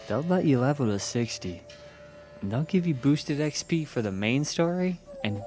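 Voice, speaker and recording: Music plays in the background as a man speaks at a moderate pace with very wide pitch swings. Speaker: game streamer and reviewer. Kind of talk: video game review voice-over.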